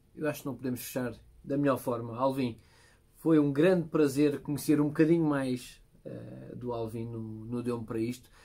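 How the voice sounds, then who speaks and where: In a dark, mellow tone, a man talks at a moderate pace with fairly even intonation against a quiet background. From Portugal. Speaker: podcast host. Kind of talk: interview. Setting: studio. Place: studio.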